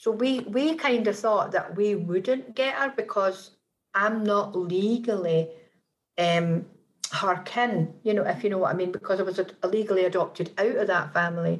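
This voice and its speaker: Speaking at a moderate pace with a Scottish accent, a woman shows ordinary pitch variation. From rural Scotland. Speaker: author, adoptee. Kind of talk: personal testimony interview. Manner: hesitant, many fillers.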